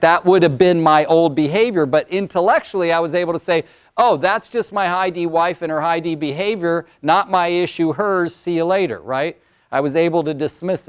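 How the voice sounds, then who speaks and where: Close and dry with no echo over a quiet background, a man speaks at a moderate pace with a high pitch, ordinary pitch variation, and big swings in loudness. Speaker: motivational speaker and coach. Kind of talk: workshop presentation.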